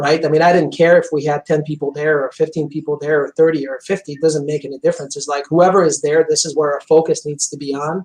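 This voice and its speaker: With a Quebec accent, a fairly high-pitched man races along at a very fast pace, hardly pausing, his intonation monotone and flat while his loudness swings widely. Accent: French Canadian accent in English. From Quebec, Montreal. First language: French. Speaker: chiropractor. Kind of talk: interview. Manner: intense.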